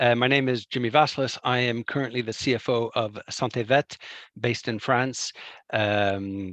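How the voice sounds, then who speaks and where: In an ordinary speaking voice, a man talks at a moderate pace and medium pitch with ordinary pitch variation, the sound dry and close with no echo. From Canada. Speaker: CFO. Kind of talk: interview answers. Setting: video call.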